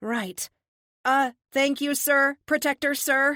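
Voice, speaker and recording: A woman speaks in a put-on character voice, high-pitched and nervous, at a very slow pace with fairly even intonation. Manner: stammering, nervous.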